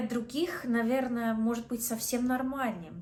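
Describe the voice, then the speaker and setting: Somewhat breathy and dark, mellow in tone, a woman with an Australian accent speaks at a fairly high pitch, with audible room echo. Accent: Australian English accent in Russian. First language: English (speaking Russian). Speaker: vlogger. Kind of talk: casual vlog talk. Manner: halting, with self-corrections.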